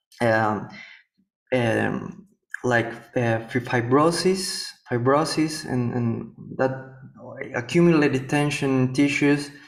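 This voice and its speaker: Against audible room echo, a man of medium pitch speaks at a very slow pace with long, frequent pauses. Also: ordinary pitch variation. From Paraguay. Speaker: yoga and healing therapist. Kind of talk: interview conversation. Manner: halting, many repetitions.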